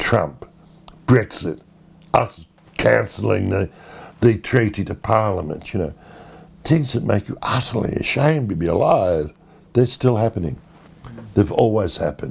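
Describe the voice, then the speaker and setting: Speaking at a moderate pace with long, frequent pauses, a man with an Australian accent uses a fairly low pitch that swings very widely, with vocal fry throughout. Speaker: poet and short story writer. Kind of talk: interview answer.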